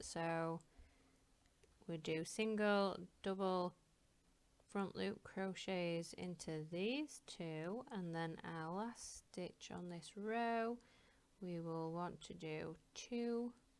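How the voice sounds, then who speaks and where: Spoken at a very slow pace with an ordinary amount of pitch variation, this Northern English accent comes through on a very clean recording over a silent background. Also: woman, fairly low pitch for a woman. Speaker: crochet tutor. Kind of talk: craft tutorial talk to camera. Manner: casual, rambling.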